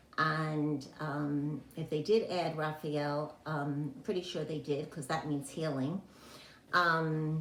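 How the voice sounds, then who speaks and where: Amid noticeable background noise and audible room echo, a woman with a very deep, low pitch speaks very slowly in a fairly even intonation. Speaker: health and wellness teacher. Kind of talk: online class talk. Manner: halting, many fillers.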